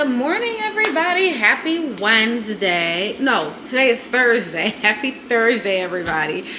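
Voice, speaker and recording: Noticeable background noise surrounds a woman with a high pitch. She speaks fairly slowly, her pitch swinging very widely. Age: 30s. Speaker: registered nurse. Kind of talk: casual talk to camera. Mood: relaxed, friendly morning chat. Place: kitchen. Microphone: phone near.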